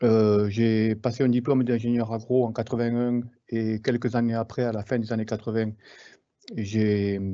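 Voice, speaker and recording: A man speaks at a fairly slow pace, his medium pitch held in a monotone, flat intonation. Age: 60s. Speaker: market gardener. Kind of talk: webinar presentation. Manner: halting, many hesitations.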